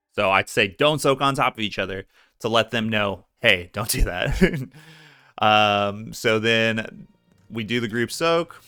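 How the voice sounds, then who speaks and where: Over music in the background, a man speaks at a fairly slow pace with ordinary pitch variation. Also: medium pitch for a man. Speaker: gaming guide creator, raid leader. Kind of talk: tutorial with gameplay commentary. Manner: casual, conversational.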